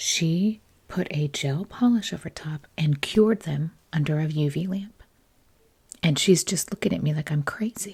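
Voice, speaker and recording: Soft-spoken and somewhat breathy, a woman talks at a moderate pace and fairly low pitch with ordinary pitch variation. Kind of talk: storytelling, casual anecdote. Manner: soft-spoken, chatty.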